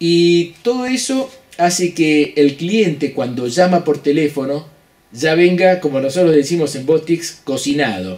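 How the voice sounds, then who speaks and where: Using lively intonation, a man speaks at a fairly high pitch with a Rioplatense accent. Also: fairly slow pace. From Argentina. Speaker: business consultant; business coach. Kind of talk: lecture; casual chat. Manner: halting. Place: office. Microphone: studio mic.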